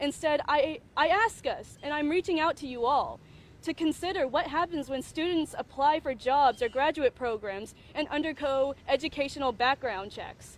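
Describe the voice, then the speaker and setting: High pitch and lively intonation from a woman. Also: moderate pace. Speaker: undergraduate student speaker. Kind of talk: prepared statement at press conference. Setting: press conference. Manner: loud; halting, self-correcting.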